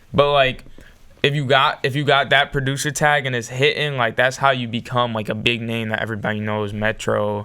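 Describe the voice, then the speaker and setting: Fairly quick and fairly even in intonation, a normal speaking voice comes through with an American accent. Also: man, medium pitch for a man. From Boston, Massachusetts. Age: young. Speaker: hip hop producer. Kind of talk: interview answer. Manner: casual, relaxed.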